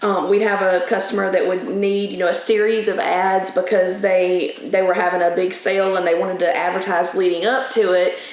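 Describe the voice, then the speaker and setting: A woman with monotone, flat intonation and hardly any pauses, amid audible room echo and noticeable background noise. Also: medium pitch for a woman, fairly quick pace. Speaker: account manager. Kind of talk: casual chat. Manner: loud.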